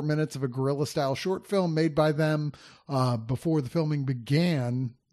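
Against a quiet background, a man with a plain, everyday voice speaks fairly quickly at a fairly high pitch with ordinary pitch variation. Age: 50s. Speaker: film reviewer podcast host. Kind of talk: casual chat.

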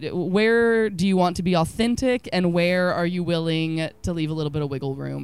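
With an American accent, a woman speaks at a fairly low pitch and a moderate pace. Her pitch variation is ordinary. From Texas. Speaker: cookbook author. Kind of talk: casual interview.

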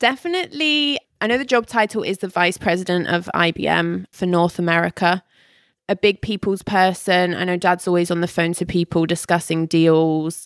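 A woman with an English accent speaks at a moderate pace in a fairly low voice, with ordinary pitch variation. The recording is very clean and dry, close with no echo, over a silent background. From England, Ealing and Buckinghamshire. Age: 20s. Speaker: cosmetology student. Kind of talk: casual chat.

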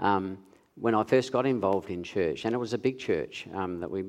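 Against a quiet background, a man with a fairly low voice and an Australian accent talks at a moderate pace with ordinary pitch variation. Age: 60s. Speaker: nurse. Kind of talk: interview on stage in church. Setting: church stage with audience.

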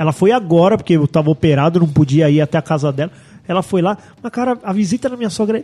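Dark and mellow in tone, a man talks at a fairly quick pace with very wide pitch swings. The sound is dry and close with no echo. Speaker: podcast co-host. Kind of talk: casual chat.

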